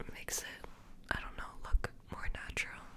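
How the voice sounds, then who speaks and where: Whispering from a woman, fairly slow in pace. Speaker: ASMR creator. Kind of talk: ASMR personal attention roleplay. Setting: close-mic recording with a USB microphone. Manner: whispered, soft-spoken. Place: home room. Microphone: studio mic.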